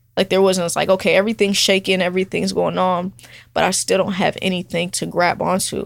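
A woman with an American accent speaks in a flat monotone with vocal fry. The recording is very clean, with a silent background. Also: medium pitch for a woman. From California, then Atlanta from middle school. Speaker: barber. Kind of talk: casual interview.

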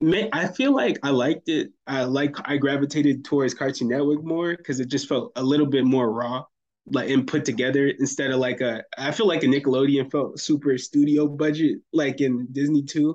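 A man with an American accent talks at a moderate pace with hardly any pauses. His pitch is fairly high with fairly even intonation, in a normal speaking voice. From US South, Fayetteville, North Carolina. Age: 20s. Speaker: music producer. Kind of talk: casual interview chat.

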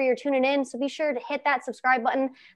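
A woman with an American accent talks at a very fast pace in a high voice. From Ohio, US Midwest. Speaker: podcast host. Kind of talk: casual interview chat.

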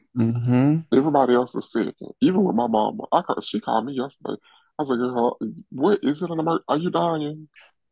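In a dry, close recording with no echo, a man with a fairly high, dark, mellow voice talks at a very fast pace. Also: lively intonation. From Birmingham, Alabama. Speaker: podcast co-host. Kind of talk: casual chat.

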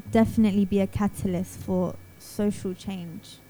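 A woman with a London accent, somewhat breathy and at a medium pitch, with a dark, mellow tone. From Southeast London, England. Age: 20s. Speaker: singer-songwriter. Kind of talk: radio interview.

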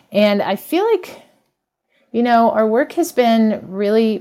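Captured in a very clean recording with a silent background, a woman with an ordinary speaking voice, a fairly high pitch, and lively intonation talks at a moderate pace. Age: 50s. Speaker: English teacher and memoir writer. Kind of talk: interview conversation.

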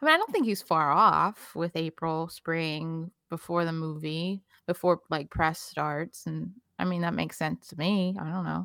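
This woman has a fairly low pitch and a bright, sharp tone, speaking at a moderate pace with fairly even intonation. The recording is very clean with a silent background and a dry, close sound with no echo. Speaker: recurring podcast guest, fan site runner. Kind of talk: casual chat.

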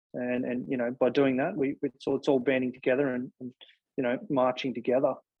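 Speaking at a fairly quick pace, a man with an Australian accent keeps a medium pitch and fairly even intonation. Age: 30s. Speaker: exercise physiologist and gym chain CEO. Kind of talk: interview. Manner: halting, many fillers.

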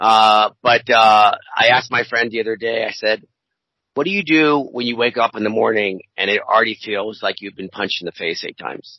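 Speaking at a moderate pace with ordinary pitch variation, a man with an American accent has an unremarkable speaking voice. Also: medium pitch for a man. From US, Baltimore suburbs. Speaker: podcast co-host. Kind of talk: casual chat.

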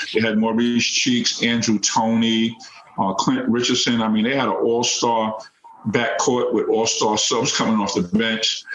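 Over noticeable background noise, a man speaks at a medium pitch and a fairly slow pace. His intonation is monotone and flat, and his loudness stays very even. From New York City (Queens). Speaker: former college basketball player and youth coach. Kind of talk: interview.

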